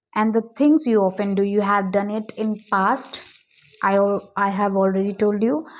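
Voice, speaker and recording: A woman speaks in an Indian accent at a fairly slow pace. Her pitch is fairly high. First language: Hindi. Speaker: English teacher. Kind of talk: tutorial. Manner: halting.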